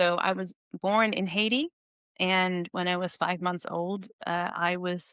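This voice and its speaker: Speaking with a Dutch accent at a fairly slow pace, a woman has a medium pitch, a bright, sharp tone, and monotone, flat intonation. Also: dry, close sound with no echo. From Netherlands. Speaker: researcher and educator. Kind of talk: podcast interview.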